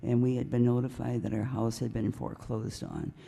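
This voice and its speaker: A woman speaks with a very deep, low pitch and a dark, mellow tone. Vocal fry runs through her voice. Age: 80s+. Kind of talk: public comment at city council meeting. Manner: conversational, hesitant.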